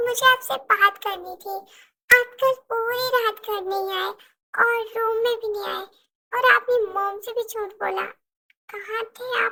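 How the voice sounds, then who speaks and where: Putting on a character voice, a woman speaks at an extremely high pitch and a moderate pace, her intonation fairly even. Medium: audio drama.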